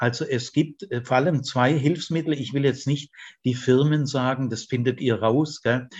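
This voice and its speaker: Somewhat breathy, a man talks at a fairly slow pace and a medium pitch. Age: 70s. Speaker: retired theology professor. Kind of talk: interview conversation. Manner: animated, laughs often.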